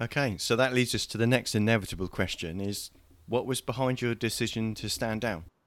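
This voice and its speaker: A man with an ordinary speaking voice talks fairly quickly at medium pitch, in a very clean recording with a silent background. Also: fairly even intonation. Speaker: podcast co-host. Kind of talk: casual chat.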